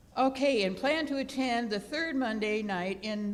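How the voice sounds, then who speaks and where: Audible echo fills the room. A woman speaks with ordinary pitch variation. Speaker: church service leader giving announcements. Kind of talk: church announcements. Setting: church sanctuary with congregation. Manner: halting, with many fillers; enthusiastic.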